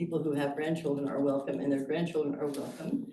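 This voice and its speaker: Audible room echo fills the recording. The speaker is a woman. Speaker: resident speaking at public comment. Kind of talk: public comment at committee meeting. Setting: boardroom meeting.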